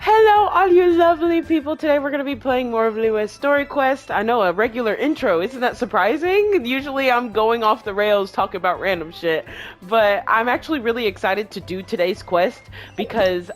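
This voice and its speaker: Over noticeable background noise, a woman with a fairly high pitch swings her voice very widely up and down. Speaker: gaming streamer. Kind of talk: let's play commentary. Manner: stuttering; casual, chatty.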